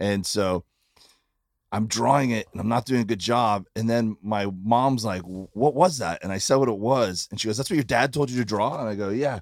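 On a very clean recording with a silent background, the speaker has a slight Midwestern accent and ordinary pitch variation. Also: man, medium pitch for a man, moderate pace. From Florida. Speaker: comedian. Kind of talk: casual chat. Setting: tour bus.

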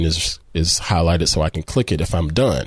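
In a Southern US accent, the speaker talks at a fairly quick pace with an upbeat, animated tone and very wide pitch swings. The background is quiet. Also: man. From US South. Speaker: photography podcast host. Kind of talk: tutorial.

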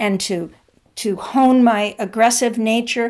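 A woman has a plain, everyday voice, speaking at a fairly high pitch and a fairly slow pace with ordinary pitch variation, in a very clean recording with a silent background. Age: 60s. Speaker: author. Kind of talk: interview.

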